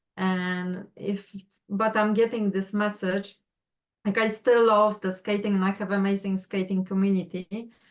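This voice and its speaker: Speaking in a flat monotone, a woman with a Polish accent has a medium pitch and a fairly slow pace. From Poland. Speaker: astrology client. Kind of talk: casual chat.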